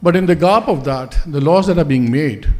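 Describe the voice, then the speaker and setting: Fairly slow speech with ordinary pitch variation and noticeable background noise. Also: man. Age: 60s. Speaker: journalist. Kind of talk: conference speech. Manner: unscripted, hesitant.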